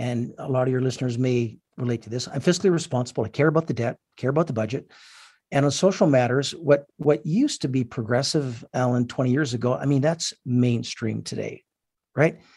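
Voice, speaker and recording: Against a quiet background, a man with a Canadian accent speaks at a fairly quick pace, somewhat breathy, with ordinary pitch variation. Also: medium pitch for a man. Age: 60s. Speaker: businessman and political advocate. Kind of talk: radio interview. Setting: phone call.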